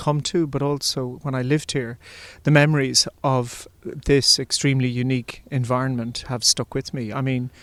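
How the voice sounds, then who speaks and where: Spoken at a moderate pace with an Irish accent, the voice keeps a fairly even intonation over a very clean recording with a silent background. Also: man. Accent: flat Irish. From Ireland. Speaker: composer. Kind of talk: interview. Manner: halting.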